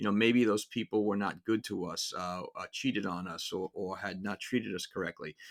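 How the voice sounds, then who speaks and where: A man with a New York accent and fairly low pitch talks at a fairly quick pace with hardly any pauses and fairly even intonation. The sound is dry and close with no echo, in a very clean recording with a silent background. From New York City (Brooklyn and Queens). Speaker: music podcast host. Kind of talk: casual monologue. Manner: halting, many fillers and repeats.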